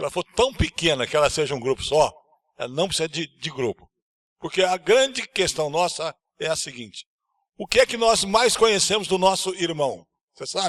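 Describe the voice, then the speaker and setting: A man talks at a moderate pace. His pitch is high. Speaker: church leader, panelist. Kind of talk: panel discussion.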